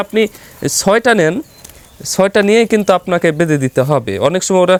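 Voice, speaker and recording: A man speaks at a high pitch with ordinary pitch variation and very even loudness. The sound is dry and close with no echo, over noticeable background noise. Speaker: pigeon farm video presenter. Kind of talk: vlog tutorial.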